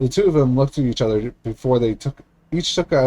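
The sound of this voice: An unforced reading voice is heard throughout.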